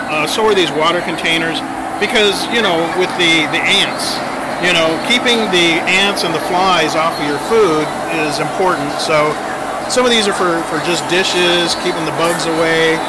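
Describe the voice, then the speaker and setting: Amid loud background noise, a man's voice comes through dry, with no echo. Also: moderate pace. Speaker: vlogger. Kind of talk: casual vlog chat. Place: shop. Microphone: phone near.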